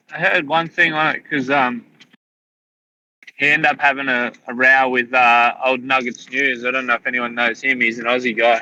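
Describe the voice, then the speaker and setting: A man speaks with an Australian accent. His pitch is medium and his intonation fairly even. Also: moderate pace. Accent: Australian, fairly broad. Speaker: livestream participant. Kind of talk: casual chat. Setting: livestream. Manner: not softly spoken.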